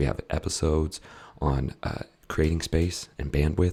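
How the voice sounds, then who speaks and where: Somewhat breathy and dark, mellow in tone, the voice moves at a moderate pace. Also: man. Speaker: podcast host / health coach. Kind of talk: casual podcast chat. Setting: live stream on social media. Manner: halting, repeats words.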